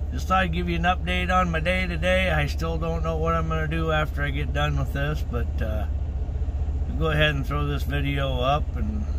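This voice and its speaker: Behind the voice, background noise is noticeable. The intonation holds fairly even throughout. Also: man, very deep, low pitch for a man, fairly quick pace. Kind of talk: casual vlog chat. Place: car. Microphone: phone near.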